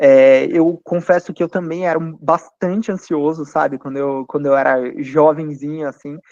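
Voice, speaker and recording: The man's pitch is fairly high, with ordinary variation. He speaks at a moderate pace in a dry, close sound with no echo. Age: 30s. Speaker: financial firm founder. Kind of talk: panel talk to students. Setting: university event. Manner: hesitant fillers.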